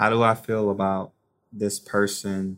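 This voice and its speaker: With a very clean recording and a silent background, a man with an unremarkable speaking voice talks slowly at a fairly low pitch. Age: 30s. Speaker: former pro football player and personal trainer. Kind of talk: interview.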